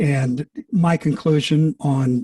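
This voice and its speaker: The man's voice is dark and mellow, fairly high in pitch and somewhat breathy, with a dry, close sound and no echo. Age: old. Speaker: public commenter at county meeting. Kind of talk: public comment at hearing. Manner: halting.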